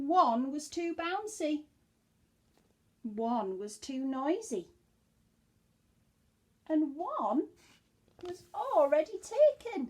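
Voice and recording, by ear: With long, frequent pauses and a very slow pace, a woman speaks at a high pitch, her slightly mellow tone marked by big pitch swings.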